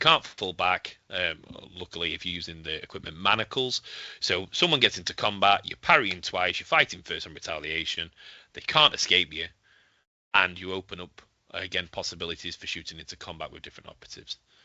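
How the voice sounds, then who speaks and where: Speaking at a fairly quick pace with a Yorkshire accent, the voice shows ordinary pitch variation and big swings in loudness. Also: man, very deep, low pitch for a man. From Yorkshire, northern England. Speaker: tabletop wargame player. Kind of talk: podcast interview. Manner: hesitant, many fillers.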